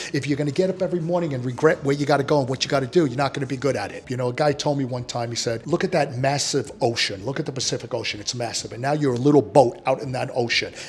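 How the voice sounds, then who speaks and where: The speech is very fast, in a New York accent. Noticeable background noise sits behind it. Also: man, fairly high pitch for a man, ordinary pitch variation, hardly any pauses. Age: 60s. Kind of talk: interview.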